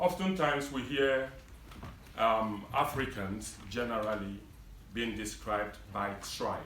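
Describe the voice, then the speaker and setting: A man with a Nigerian accent speaks at medium pitch and a fairly slow pace. Audible room echo and noticeable background noise fill the recording. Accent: Nigerian English (Igbo). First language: Igbo. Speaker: community leader. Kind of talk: public speech. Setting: event hall with audience.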